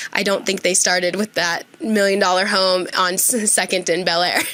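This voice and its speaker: Talking at a fairly quick pace, a woman keeps a medium pitch and a monotone, flat intonation over noticeable background noise. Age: 20s. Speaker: podcast host, mortgage professional. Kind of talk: casual chat.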